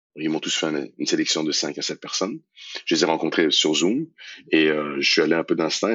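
A man is speaking here. His pace is moderate. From Iran. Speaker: theatre director and actor. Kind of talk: interview. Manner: halting, repeats words.

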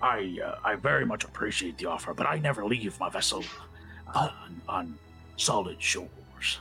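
Using a put-on character voice at a fairly low pitch, a man talks at a moderate pace with long, frequent pauses while clear music plays in the background. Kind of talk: pirate-style comic captain voice. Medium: actual play. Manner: hearty, booming, teasingly gruff then warm.

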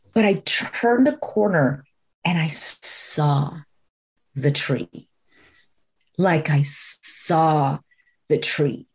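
Speaking with an American accent, a woman has a very deep, low pitch and a somewhat breathy voice. Her lively intonation comes at a very slow pace with long, frequent pauses. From Florida, US. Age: 40s. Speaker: executive coach and spiritual guide. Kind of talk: casual chat.

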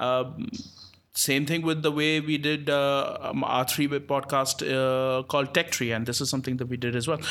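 A man with fairly even intonation and a fairly high pitch keeps a moderate pace as noticeable background noise plays. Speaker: podcast host. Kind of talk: casual interview chat.

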